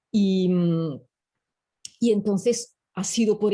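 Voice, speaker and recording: A woman's dark, mellow, somewhat breathy tone in an Italian accent. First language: Italian (speaking Spanish). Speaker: professor. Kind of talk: interview. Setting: video call. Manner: halting.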